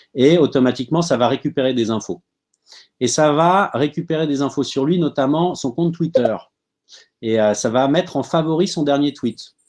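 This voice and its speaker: Over a quiet background, a man talks in a fairly high pitch with ordinary pitch variation. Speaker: startup tools speaker. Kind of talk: webinar presentation. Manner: fast.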